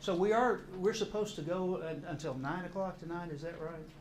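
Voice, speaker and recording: A high-pitched man at a moderate pace, with audible room echo and noticeable background noise. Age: 60s. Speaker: counselor and course teacher. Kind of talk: lecture. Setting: church classroom with audience. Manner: halting, repeats words.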